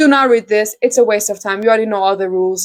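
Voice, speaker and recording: This is a woman speaking. She has an Iranian accent. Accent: Iranian (Persian) accent in English. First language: Persian. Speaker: book vlogger. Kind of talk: casual book review vlog. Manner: fast; animated.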